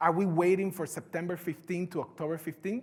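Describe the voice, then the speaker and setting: Here a man speaks with a strong Puerto Rican accent. His pitch is high. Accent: heavy Puerto Rican Spanish. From Puerto Rico. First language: Spanish. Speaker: conference speaker. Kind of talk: keynote talk.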